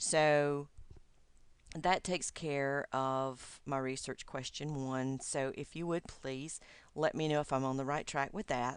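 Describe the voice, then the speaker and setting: In a very clean recording with a silent background, a woman speaks at a fairly slow pace in a very deep, low voice with fairly even intonation. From US South, Georgia. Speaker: doctoral student. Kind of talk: recorded video message to advisor. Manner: hesitant, many fillers.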